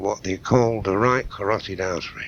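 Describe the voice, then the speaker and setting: Noticeable background noise behind a man speaking at a fairly low pitch. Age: 60s. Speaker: crime historian. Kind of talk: radio interview. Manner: animated.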